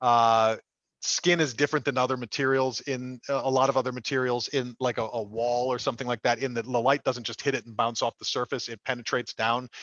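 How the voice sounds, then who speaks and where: A man's medium-pitched voice, monotone and flat, at a fairly quick pace, with a dry, close sound free of echo against a quiet background. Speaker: lighting product manager. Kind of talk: product demo webinar. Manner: fast; hesitant fillers.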